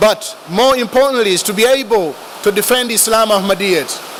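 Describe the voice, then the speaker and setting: A man with an African accent speaks at a moderate pace in a high pitch, his pitch varying an ordinary amount over noticeable background noise. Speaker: religious speaker. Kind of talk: speech.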